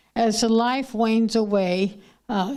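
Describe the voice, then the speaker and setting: The voice has a dark, mellow tone and fairly even intonation. It carries an American accent. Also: woman. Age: 80s+. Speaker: retired nursing professor. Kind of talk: public talk. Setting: stage with audience. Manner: halting.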